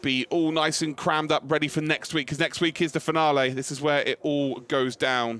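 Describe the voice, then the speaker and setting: A man with a British accent talks at a fairly quick pace. His pitch sits fairly high, and background noise is noticeable. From UK. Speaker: motorsport commentator. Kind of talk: live commentary. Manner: animated; fast.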